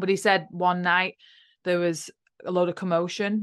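This woman speaks at a moderate pace with an English accent. Her pitch is fairly low, and the background is quiet. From UK. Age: 30s. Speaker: spiritual podcast host and teacher. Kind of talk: casual chat.

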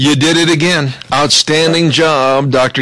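There is noticeable background noise. A man with a fairly high pitch talks at a fairly slow pace. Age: 60s. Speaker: radio host. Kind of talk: casual chat.

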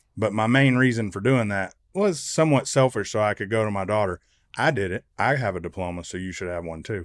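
A man with a plain, everyday voice speaks at a fairly low pitch and fairly quick pace with ordinary pitch variation, on a very clean recording with a silent background and a dry, close sound with no echo. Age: 40s. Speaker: entrepreneur and master plumber, podcast co-host. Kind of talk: casual chat.

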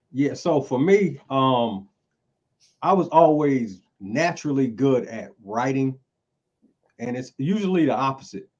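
A man with a North Carolina accent at a fairly slow pace and medium pitch, with lively intonation and long, frequent pauses. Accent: Southern US, North Carolina. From Eastern North Carolina (Greenville). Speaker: rapper. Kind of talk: casual chat.

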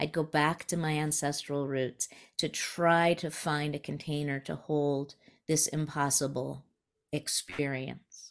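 A woman with an American accent speaks at a fairly slow pace in a very deep, low pitch. Her intonation is monotone and flat, in a very clean recording with a silent background. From New Mexico, US (raised from age eleven). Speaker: spiritual teacher and author. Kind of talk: interview conversation.

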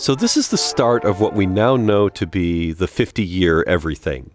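With an American accent, a man speaks at a moderate pace and a fairly low pitch. Music plays in the background. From United States. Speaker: comedy podcast co-host, television writer.

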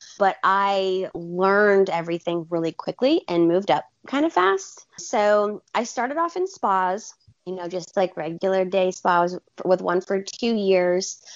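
This woman has a plain, everyday voice with an American accent and a medium pitch. She talks at a fairly slow pace with fairly even intonation. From Alabama, US South. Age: 20s. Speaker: esthetician and skincare brand educator. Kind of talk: casual interview chat.

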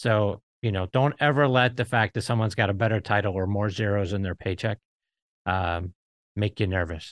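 A plain, everyday voice from a man with an American accent, fairly low in pitch with ordinary pitch variation, at a moderate pace, in a dry, close sound with no echo and a quiet background. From Pittsburgh, US. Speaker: podcast host. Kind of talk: casual chat.

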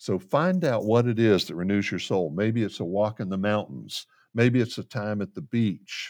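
An unremarkable speaking voice with ordinary pitch variation comes through in a very clean recording over a silent background. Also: man, fairly low pitch for a man, moderate pace. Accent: American. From Central Florida. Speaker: pastoral counselor. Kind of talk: interview conversation.

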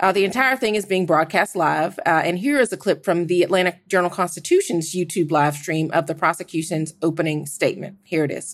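A woman with an American accent speaks in an unremarkable speaking voice, fairly low in pitch with ordinary pitch variation. She moves at a fairly quick pace with hardly any pauses, on a very clean recording with a silent background. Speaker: journalist. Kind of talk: roundtable discussion.

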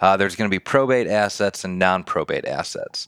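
Heard in a dry, close sound with no echo on a very clean recording with a silent background, a man with an American accent has a normal speaking voice, a fairly low pitch and a fairly quick pace. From Detroit, Michigan. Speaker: probate attorney. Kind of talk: podcast interview, explaining legal topics.

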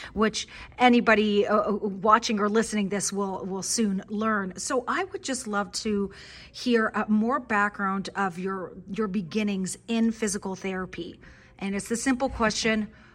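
A woman with a plain, everyday voice speaks fairly slowly at a medium pitch, her intonation fairly even. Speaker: physical therapist and podcast guest host. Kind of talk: interview.

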